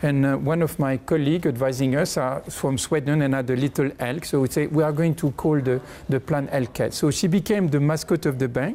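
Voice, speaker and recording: A man with a slight French accent, a fairly high pitch and a dark, mellow tone, ordinary pitch variation, very even loudness, a fairly quick pace and hardly any pauses. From France. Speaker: bank chief executive. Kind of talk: interview.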